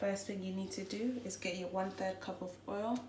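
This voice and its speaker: A woman at a medium pitch, with fairly even intonation and a moderate pace, over noticeable background noise. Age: 20s. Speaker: chef. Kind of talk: cooking tutorial talk to camera.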